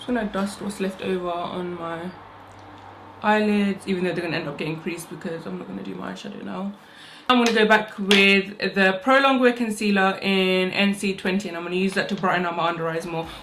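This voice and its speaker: Fairly quick speech with fairly even intonation and big swings in loudness, over noticeable background noise. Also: woman, medium pitch for a woman. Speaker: beauty vlogger. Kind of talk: makeup tutorial. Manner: fast.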